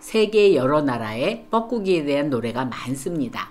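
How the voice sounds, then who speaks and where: Very wide swings mark the pitch. Delivery is fairly slow. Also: woman. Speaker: retired nursing professor. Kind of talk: scripted narration.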